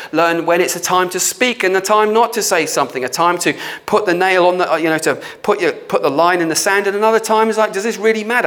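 A man speaks in a high voice. Noticeable noise sits in the background. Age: 50s. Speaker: church leader / pastor. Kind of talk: sermon / teaching talk. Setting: prayer studio. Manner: halting, with many fillers.

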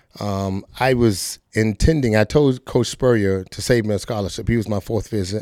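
A man with an American accent speaks in a fairly low, dark, mellow voice with ordinary pitch variation. He keeps a moderate pace with hardly any pauses, on a very clean recording with a silent background. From US South, Fort Lauderdale, Florida. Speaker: retired football player. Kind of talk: casual chat.

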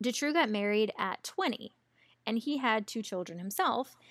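In a very clean recording with a silent background, a woman with a Southern US accent speaks at a moderate pace in a fairly high voice. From US South. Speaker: podcast host. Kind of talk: casual chat, true crime storytelling.

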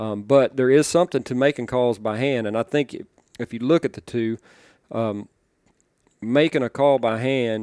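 In a very clean recording with a silent background and a dry, close sound with no echo, a dark, mellow tone moves at a moderate pace with fairly even intonation and long, frequent pauses. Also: man. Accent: Arkansas. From Arkansas, US South. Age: 40s. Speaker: duck call maker. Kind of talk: casual interview.

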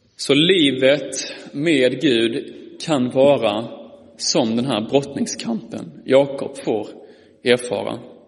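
At a very slow pace, a man speaks with medium pitch and ordinary pitch variation, amid noticeable background noise and audible room echo. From Skåne, Malmö. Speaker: preacher. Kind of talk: sermon. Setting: church.

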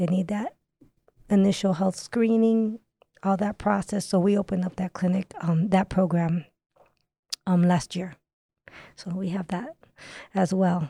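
A woman with an American accent speaks at a medium pitch in a somewhat breathy voice with a dark, mellow tone, keeping a fairly slow pace with fairly even intonation and long, frequent pauses, in a dry, close sound with no echo. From US, part of youth in Dominican Republic. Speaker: nurse. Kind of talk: interview.

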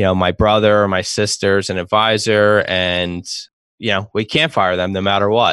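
Fairly even intonation and a moderate pace in a man's plain, everyday voice, fairly low in pitch. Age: 30s. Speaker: financial planner. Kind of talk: casual chat.

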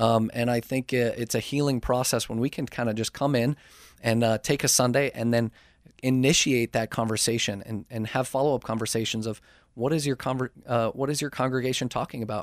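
With a dry, close sound, no echo and a very clean recording against a silent background, a man speaks at medium pitch and a fairly quick pace with fairly even intonation. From Minnesota (Saint Paul). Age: 30s. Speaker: addiction ministry church relations leader. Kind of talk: radio interview. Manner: halting, many fillers.

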